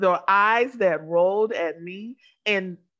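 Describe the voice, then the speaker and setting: The intonation is lively. It is an unremarkable speaking voice. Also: woman. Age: 40s. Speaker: podcast co-host. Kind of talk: casual chat.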